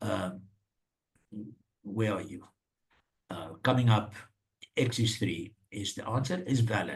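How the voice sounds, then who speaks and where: A man speaks fairly slowly with lively intonation, leaving long, frequent pauses. His fairly low, somewhat breathy voice swings widely in loudness amid audible room echo. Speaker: maths course facilitator. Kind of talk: online lecture.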